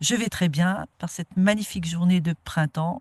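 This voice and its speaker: A woman speaks slowly-ish, at a fairly slow pace, with fairly low pitch and ordinary pitch variation. Her somewhat breathy voice sounds dry and close, with no echo. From France, Moselle (Bitche area). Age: 60s. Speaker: nature garden founder. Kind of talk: interview. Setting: outdoors in a garden.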